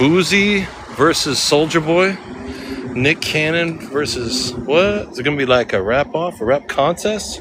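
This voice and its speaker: A man with an American accent and a fairly high pitch speaks fairly slowly with lively intonation amid noticeable background noise. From California, Sacramento area. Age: 50s. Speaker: live streamer. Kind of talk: casual live stream chat.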